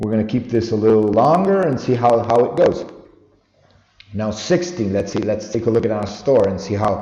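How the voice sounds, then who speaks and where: A man with a non-native accent talks at a moderate pace and medium pitch, with ordinary pitch variation, a dark, mellow tone and audible room echo. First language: not English. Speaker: online store owner, tutorial vlogger. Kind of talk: screen-recorded tutorial. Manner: halting, self-correcting.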